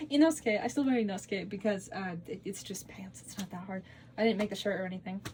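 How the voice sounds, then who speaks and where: A woman talks very fast in a somewhat breathy voice, with ordinary pitch variation and big swings in loudness. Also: medium pitch for a woman. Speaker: cosplay content creator. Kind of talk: casual Q&A vlog. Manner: rambling, filler-heavy.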